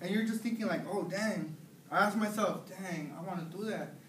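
Over light background noise and audible room echo, the speaker talks at a fairly quick pace with an American accent and ordinary pitch variation. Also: man. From US West Coast, San Gabriel Valley, California; California. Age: 20s. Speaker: college student. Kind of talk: personal testimony. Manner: halting. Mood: earnest, reflective. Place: classroom. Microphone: camera far.

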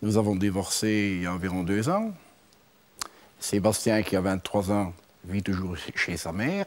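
Speaking at a fairly slow pace with long, frequent pauses, a man uses a fairly low pitch and fairly even intonation. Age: 50s. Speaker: mechanic; talk show guest. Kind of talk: testimony. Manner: halting. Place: studio. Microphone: lapel.

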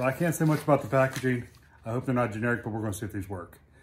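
A man's voice over light background noise. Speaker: motorcycle owner vlogger. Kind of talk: casual unboxing and tutorial vlog. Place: garage. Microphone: camera far.

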